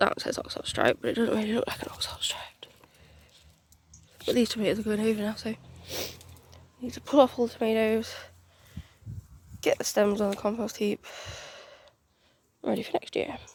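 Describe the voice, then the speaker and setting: Talking at a fairly quick pace in a British accent, a woman keeps her intonation fairly even. Her loudness swings widely, and her pauses are long and frequent. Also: fairly high pitch for a woman. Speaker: home gardener. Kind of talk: casual garden tour talk to camera. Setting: outdoors.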